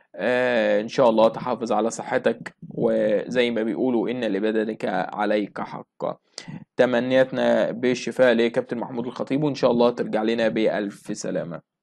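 A man with an Egyptian accent against a quiet background. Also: moderate pace. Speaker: sports news presenter; news presenter. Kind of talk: news reading. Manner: hesitant fillers. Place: home room. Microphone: phone near.

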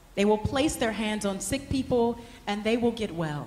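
A woman's fairly high voice at a moderate pace, with audible room echo and light background noise. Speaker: scripture reader. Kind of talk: reading aloud. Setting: stage with audience. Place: hall. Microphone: handheld.

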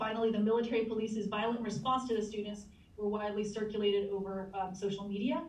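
A woman's monotone, flat delivery at a moderate pace, with noticeable background noise. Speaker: anthropology professor. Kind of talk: panel discussion. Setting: video call.

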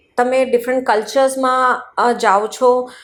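A woman's high-pitched voice. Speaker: overseas education consultant. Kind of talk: interview.

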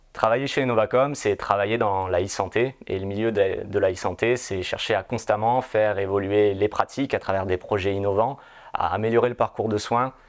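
A man at a fairly low pitch and moderate pace, fairly even intonation, quiet background. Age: 30s. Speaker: pre-sales engineer. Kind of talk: corporate recruitment testimonial. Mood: calm, positive. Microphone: lapel.

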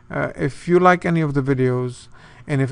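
A man's voice at a moderate pace. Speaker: presenter. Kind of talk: promotional talk to camera. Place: office. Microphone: webcam.

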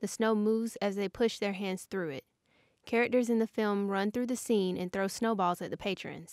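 Reading aloud in a natural voice, fairly even intonation, quiet background

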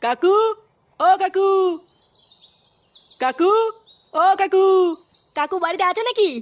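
Shouting loudly in a put-on character voice, a woman hits an extremely high pitch at a moderate pace. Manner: calling out loudly, shouting.

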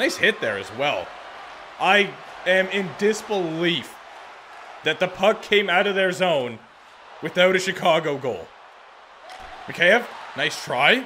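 In an animated tone, a man with a high pitch uses a raised, projected voice at a fairly slow pace with long, frequent pauses over light background noise. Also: ordinary pitch variation. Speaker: gaming video creator. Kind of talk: video game commentary. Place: home room. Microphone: studio mic.

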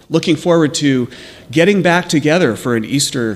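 Moving at a moderate pace, a man talks with ordinary pitch variation. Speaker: pastor leading worship. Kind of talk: church announcements and welcome. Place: church. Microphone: podium.

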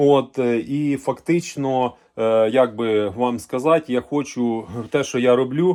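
A man speaking at a very slow pace on a very clean recording with a silent background. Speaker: farmer and livestock video blogger. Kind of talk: casual vlog monologue. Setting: on his farm. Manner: hesitant, filler-heavy.

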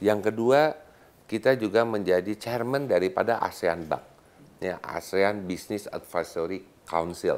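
A plain, everyday voice from a man, fairly low in pitch, with ordinary pitch variation and a fairly slow pace. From Bandung, West Java; West Java. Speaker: business leader and chamber of commerce official; guest. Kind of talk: casual interview chat. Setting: studio. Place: studio.

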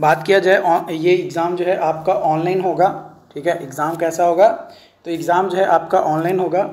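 This man has a high pitch and a slightly mellow tone. He keeps a moderate pace and fairly even intonation.

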